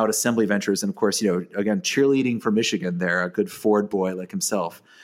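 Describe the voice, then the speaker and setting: Against a silent background on a very clean recording, a man talks at a very fast pace. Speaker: podcast host and event MC. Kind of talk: scripted-feeling podcast chat and event preview. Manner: animated, wordy, occasionally stumbling and repeating words.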